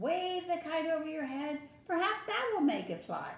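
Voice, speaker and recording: With slight echo, a woman performs a squeaky put-on character voice at an extremely high pitch and a moderate pace. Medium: read story. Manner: calm, steady.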